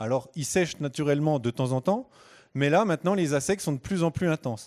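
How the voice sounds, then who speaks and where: In a Franche-Comté accent, a man speaks at a fairly high pitch with lively intonation. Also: very clean recording, silent background. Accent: Franche-Comté regional French. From Franche-Comté, eastern France. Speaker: hydrobiologist giving a public talk. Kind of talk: conference talk. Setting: stage with live audience. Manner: hesitant, many filler sounds.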